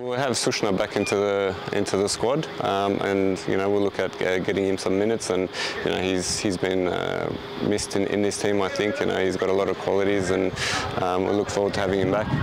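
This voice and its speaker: A man's fairly low voice at a fairly quick pace, monotone and flat, with very even loudness and noticeable background noise. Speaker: football head coach. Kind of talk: interview answer. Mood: calm, confident. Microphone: lapel.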